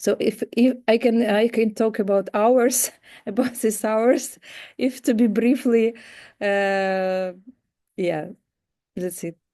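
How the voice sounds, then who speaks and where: Over a quiet background, a woman with a fairly high, dark and mellow voice speaks at a very slow pace with long, frequent pauses and ordinary pitch variation. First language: Ukrainian. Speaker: panelist. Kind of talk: panel discussion. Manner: halting.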